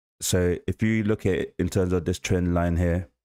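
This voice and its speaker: In a very clean recording with a silent background, a man with a London accent talks at a moderate pace, his very deep, low pitch carrying a dark, mellow tone and fairly even intonation. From South London, England. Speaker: forex trader streaming live trades. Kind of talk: live trading stream commentary. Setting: livestream.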